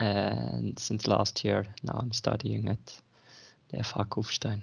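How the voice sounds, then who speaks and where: In a quiet background, a man with a Dutch accent speaks at a very slow pace. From Netherlands. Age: 30s. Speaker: student. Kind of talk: interview. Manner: hesitant, many fillers.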